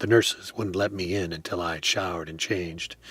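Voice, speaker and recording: A man's put-on character voice, raspy and very deep, at a moderate pace with music in the background. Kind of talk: radio play narration. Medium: audio drama.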